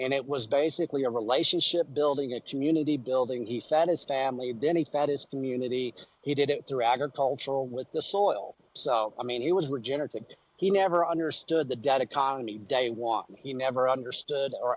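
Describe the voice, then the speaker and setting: A man with a West Texas accent talks at a fairly quick pace with ordinary pitch variation, his voice dry and close with no echo over a quiet background. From West Texas (Amarillo). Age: 50s. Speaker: beef industry entrepreneur. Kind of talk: podcast interview. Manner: animated.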